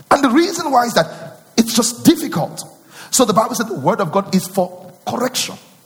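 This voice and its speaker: Against noticeable background noise, a man talks at a fairly quick pace in an animated tone, his high pitch swinging very widely. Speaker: pastor. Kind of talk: sermon. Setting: church.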